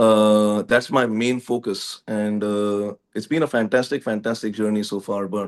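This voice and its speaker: A man with a fairly low pitch speaks at a moderate pace, barely pausing. His intonation is fairly even, and the background is quiet. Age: 40s. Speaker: musician and political candidate. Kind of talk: interview. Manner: formal.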